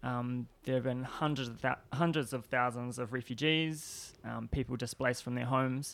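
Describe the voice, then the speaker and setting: Recorded very cleanly against a silent background, a man at a medium pitch talks in a monotone, flat intonation at a moderate pace with hardly any pauses. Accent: New Zealand. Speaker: PhD student and disarmament activist. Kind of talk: interview. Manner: hesitant, many fillers.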